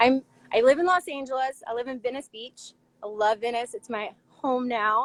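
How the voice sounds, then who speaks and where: A woman speaks with an American accent at a high pitch. Her pace is moderate, and her loudness swings widely. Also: ordinary pitch variation, dry, close sound with no echo. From US South, Chattanooga, Tennessee. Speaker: professional roller skater and dancer. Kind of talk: casual interview. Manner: casual, filler-heavy.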